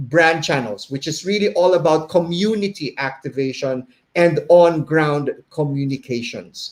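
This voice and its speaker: A man speaks at a fairly slow pace, his pitch varying in an ordinary way. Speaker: behavior consultant and webinar host. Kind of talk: live webinar presentation. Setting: live stream. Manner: slight stutter, stumbling.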